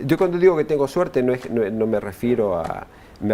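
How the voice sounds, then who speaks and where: A man talks with very wide swings in pitch over noticeable background noise. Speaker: union official, former UN worker. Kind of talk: interview. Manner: halting, many repetitions and fillers.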